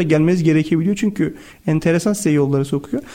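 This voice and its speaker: A man with lively intonation at a very fast pace. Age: 40s. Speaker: company executive. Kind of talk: interview.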